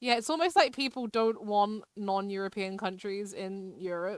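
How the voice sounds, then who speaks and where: A woman with a British accent at a fairly slow pace, in a very clean recording with a silent background. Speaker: live streamer. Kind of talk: casual live-stream chat while gaming. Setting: live stream.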